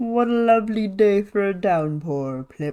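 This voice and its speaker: A female-sounding, put-on character voice speaks at a middle pitch. The pace is fairly slow. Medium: virtual streamer. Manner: bossy, booming.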